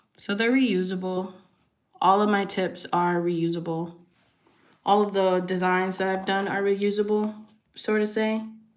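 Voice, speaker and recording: A woman speaks at a fairly slow pace in a flat monotone, with long, frequent pauses and audible room echo. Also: medium pitch for a woman. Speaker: nail artist. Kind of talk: livestream tutorial chat. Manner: soft-spoken; casual with fillers.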